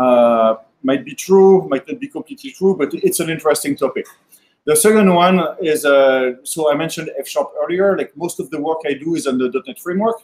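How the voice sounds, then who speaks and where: Speaking with a French accent, a man uses a fairly high pitch, lively intonation, and a fairly quick pace. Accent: French accent (joking he sounds Californian). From France. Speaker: software developer and machine learning speaker. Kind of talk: technical talk at a meetup. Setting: meetup with live audience. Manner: fast; hesitant, many fillers.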